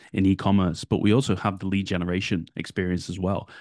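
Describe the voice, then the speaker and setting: A man talks at a very fast clip in a very deep, low voice with a dark, mellow tone. The background is quiet. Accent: British. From United Kingdom. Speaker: podcast co-host, Google Ads agency marketer. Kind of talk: casual chat. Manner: frequent fillers like you know and kinda.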